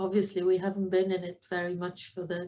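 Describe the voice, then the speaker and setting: A woman of medium pitch speaks with a Welsh accent. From Wales, Cardigan, southwest coast. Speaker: professor of animal science. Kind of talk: online conference talk.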